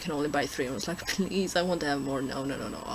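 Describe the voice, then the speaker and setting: The speaker has a non-native accent. There is noticeable background noise. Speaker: vlogger. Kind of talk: casual vlog. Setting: handheld camera recording. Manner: halting.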